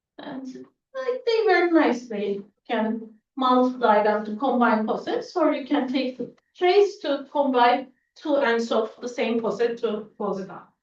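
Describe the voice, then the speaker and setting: In a room with audible echo, a woman with a high pitch speaks at a fairly slow pace, her intonation lively and her loudness swinging widely. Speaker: mathematics professor. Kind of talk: lecture.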